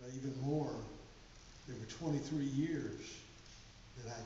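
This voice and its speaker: A man speaks at a fairly slow pace with medium pitch and fairly even intonation. Room echo is audible, and there is noticeable background noise. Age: 60s. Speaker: pastor. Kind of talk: sermon.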